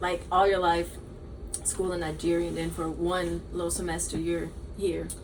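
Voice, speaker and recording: Audible room echo and noticeable background noise surround a woman speaking with an American accent. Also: moderate pace. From Georgia, US (Augusta). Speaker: podcast host, university student. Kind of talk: casual chat.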